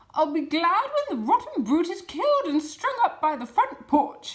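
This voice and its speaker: A woman's put-on character voice, extremely high in pitch, with very wide pitch swings. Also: moderate pace. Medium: read story.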